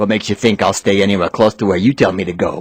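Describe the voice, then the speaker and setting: A man growls through a put-on character voice at a fairly low pitch, very fast, with fairly even intonation. The sound is dry and close with no echo over a quiet background. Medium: read story.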